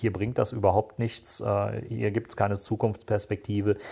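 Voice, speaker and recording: On a very clean recording with a silent background, a man speaks at a moderate pace, somewhat breathy, with a dark, mellow tone. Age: 40s. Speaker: security policy analyst and podcaster. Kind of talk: interview.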